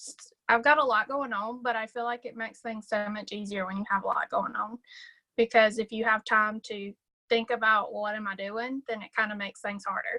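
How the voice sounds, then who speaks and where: In a Southern US accent, a woman speaks at a fairly quick pace and fairly high pitch, her bright, sharp tone staying monotone and flat while her loudness swings widely in a dry, close sound with no echo. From US South, South Carolina. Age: 20s. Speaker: sales director. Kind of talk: casual chat.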